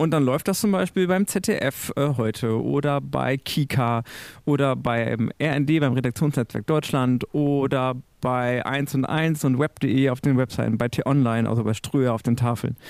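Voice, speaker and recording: In a very clean recording with a silent background and a dry, close sound free of echo, a man speaks fairly slowly in an unremarkable speaking voice at a medium pitch, with ordinary pitch variation and very even loudness. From Münsterland, western Germany. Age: 40s. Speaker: church media editor. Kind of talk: podcast interview.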